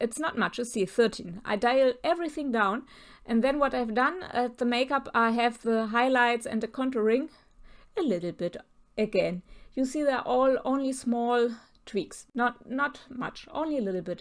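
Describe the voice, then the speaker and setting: A woman with a non-native accent and a high pitch talks at a moderate pace. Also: ordinary pitch variation. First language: German. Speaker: portrait photographer. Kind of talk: tutorial. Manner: halting, with many fillers.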